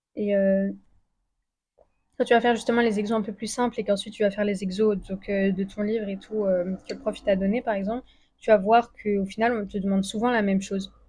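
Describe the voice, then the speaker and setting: A woman with a dark, mellow tone, somewhat breathy and medium in pitch, at a fairly quick pace with monotone, flat intonation. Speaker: student youtuber giving study tips. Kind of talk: casual vlog advice. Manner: fast; casual with many fillers.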